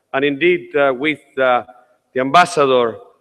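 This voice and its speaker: Delivered in a Uruguayan accent, the speech keeps a moderate pace and fairly even intonation. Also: man. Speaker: parliament speaker, politician. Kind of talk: welcome speech. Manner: formal.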